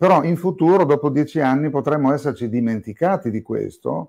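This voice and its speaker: Over a quiet background, a man talks at a moderate pace in a fairly high pitch with a dark, mellow tone. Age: 60s. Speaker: psychiatrist and psychotherapist. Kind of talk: interview.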